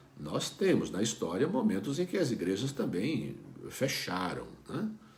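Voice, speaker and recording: There is audible room echo and noticeable background noise as a man talks at a fairly slow pace with very wide pitch swings. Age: 60s. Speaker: pastor. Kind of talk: devotional talk. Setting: online video broadcast. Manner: conversational, with fillers.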